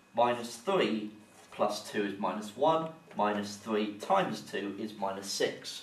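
There is audible room echo and light background noise around a man's voice. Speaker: maths teacher. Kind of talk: tutorial. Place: classroom. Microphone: camera far.

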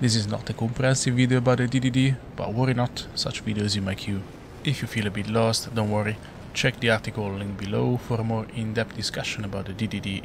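A man's very fast, monotone, flat delivery amid noticeable background noise. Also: medium pitch for a man. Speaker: flight simulator content creator. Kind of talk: tutorial narration. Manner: flat, inexpressive.

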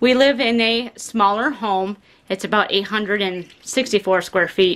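Her intonation stays fairly even as the woman speaks. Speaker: homesteader vlogger. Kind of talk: casual vlog chat. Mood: relaxed, cheerful. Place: home room. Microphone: phone near.

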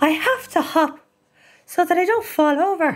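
In a put-on character voice, a woman speaks at a moderate pace with an extremely high, whiny pitch and lively intonation. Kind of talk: comic radio acting. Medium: audio drama. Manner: whiny, pleading, stubborn.

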